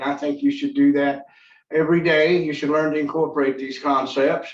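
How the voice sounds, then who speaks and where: Speaking at a fairly quick pace, a man with an American accent has a fairly high pitch. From Kentucky, Winchester. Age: 60s. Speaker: college student. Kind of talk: class presentation. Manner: halting, many fillers.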